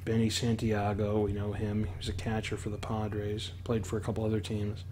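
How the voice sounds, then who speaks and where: A soft-spoken man with a fairly low pitch, somewhat breathy, at a moderate pace. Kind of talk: ASMR show-and-tell.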